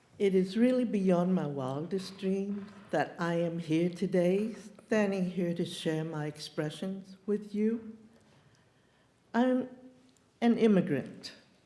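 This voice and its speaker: Audible room echo surrounds a woman of medium pitch. She speaks at a very slow pace with long, frequent pauses. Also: ordinary pitch variation. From China. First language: Chinese. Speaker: peace activist, guest speaker. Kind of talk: personal talk at a church service.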